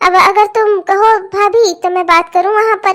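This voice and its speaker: In a cartoonish character voice of extremely high pitch, a woman speaks at a moderate pace with monotone, flat intonation and very even loudness. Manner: chatty, persuasive.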